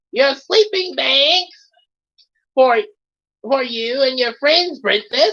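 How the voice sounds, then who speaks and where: Putting on a character voice, a woman speaks very slowly in a high pitch, with very wide pitch swings and long, frequent pauses. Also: very even loudness. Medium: read story. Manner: formal, deferential.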